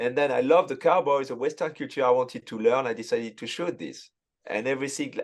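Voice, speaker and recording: A man talks with a French accent. He moves at a fairly quick pace. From France. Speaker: sports photographer. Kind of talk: casual chat. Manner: halting.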